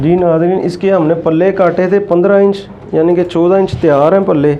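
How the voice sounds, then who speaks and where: Soft-spoken man, high-pitched, monotone and flat, at a fairly slow pace, with audible room echo and noticeable background noise. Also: very even loudness. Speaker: tailoring instructor. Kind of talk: tutorial.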